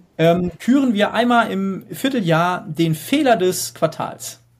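A man's high-pitched voice at a very slow pace. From Hesse, Germany. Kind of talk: casual interview.

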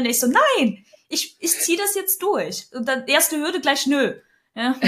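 Her raised, projected voice has a high pitch and a bright, sharp tone as the woman speaks at a moderate pace with lively intonation. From Ukraine (Kyiv), raised largely in Germany. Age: 30s. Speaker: founder. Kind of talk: personal testimony in interview.

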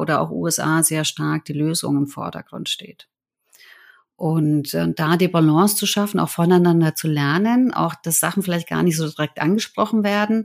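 Fairly low in pitch, a woman with an unremarkable speaking voice talks at a moderate pace with fairly even intonation in a very clean recording with a silent background. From Germany. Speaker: change management consultant. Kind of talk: interview.

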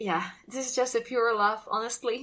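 A woman with a Russian accent speaks at a moderate pace and fairly even intonation. Her tone is bright and sharp. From Russia, North Caucasus. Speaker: travel company founder, hiking tour organizer. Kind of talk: casual interview. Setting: video call from home.

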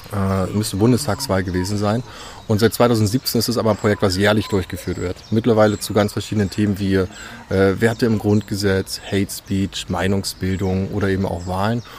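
Over noticeable background noise, a man speaks at a moderate pace. His fairly low voice has monotone, flat intonation. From Saxony, Dresden. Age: 20s. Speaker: youth participation facilitator. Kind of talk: interview. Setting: outdoors in a park.

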